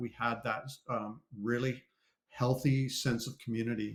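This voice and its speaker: A man with a Canadian accent, a plain, everyday voice, medium pitch and fairly even intonation. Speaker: ex-pastor, cartoonist. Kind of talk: live interview.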